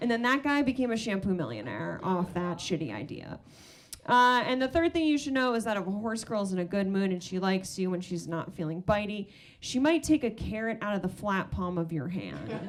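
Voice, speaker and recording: Speaking at a fairly quick pace, a woman with an American accent uses a plain, everyday voice, medium pitch and lively intonation. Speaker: stand-up comedian. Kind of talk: stand-up. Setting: stage with audience.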